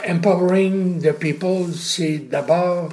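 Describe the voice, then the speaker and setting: Speaking at a very slow pace, a man keeps a high pitch. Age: 80s+. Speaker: retired communications professor. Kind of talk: interview.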